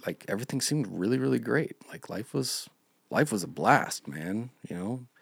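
A man with an American accent speaks at a moderate pace with a fairly low pitch, vocal fry and very wide pitch swings. The recording is very clean with a silent background and a dry, close sound with no echo. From Montana. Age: 30s. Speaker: churchgoer sharing life story. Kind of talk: personal testimony.

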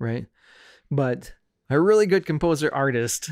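Moderate pace and ordinary pitch variation in an ordinary speaking voice, very clean recording, silent background. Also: man. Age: 40s. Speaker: podcast guest, churchgoer and worship guitarist. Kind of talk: casual chat. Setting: in person, in a house.

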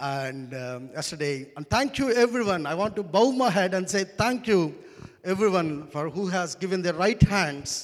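In a very clean recording with a silent background, a man speaks at a moderate pace with an Indian accent. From India, Andhra Pradesh. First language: Telugu. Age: 30s. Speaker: pastor. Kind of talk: sermon. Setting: church. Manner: animated.

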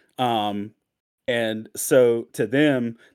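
A man speaks in a normal speaking voice at medium pitch, with fairly even intonation, on a very clean recording with a silent background. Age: 40s. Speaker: pastor and author. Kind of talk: casual talk with a devotional teaching.

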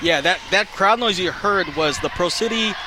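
A man speaks in a raised, projected voice at a fairly quick pace. Noticeable background noise is present. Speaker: color analyst. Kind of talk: live color commentary, game analysis. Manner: conversational, explanatory, casual with filler words.

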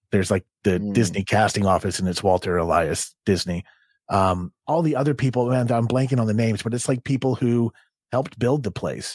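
In a very clean recording with a silent background, a man speaks at a fairly quick pace. His medium pitch shows ordinary variation, and the sound is dry and close with no echo. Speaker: podcast producer and comedian. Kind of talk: casual chat. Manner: animated.

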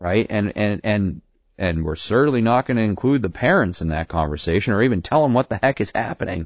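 A man with an unremarkable speaking voice talks at a fairly quick pace, his fairly low pitch carried by lively intonation. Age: 20s. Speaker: state politician. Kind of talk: interview.

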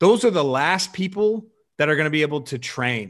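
Lively intonation marks a man's normal speaking voice with an American accent. He talks at a moderate pace and a fairly high pitch. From Chicago suburbs. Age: 30s. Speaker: weightlifting coach. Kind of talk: casual chat.

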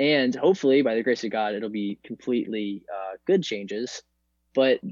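A man talks at a moderate pace in an unremarkable speaking voice. His pitch sits in the middle range. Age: 20s. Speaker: college student and future naval officer. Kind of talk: casual chat.

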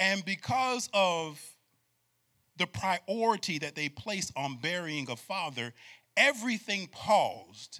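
This man has a high-pitched, bright, sharp voice and an animated tone. He talks at a fairly slow pace, and his pitch swings very widely. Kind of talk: sermon to a live congregation, preacher in full flow. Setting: church with live audience. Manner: animated, call-and-response, urging the crowd to shout back; emphatic, rhythmic, repeating phrases for effect.

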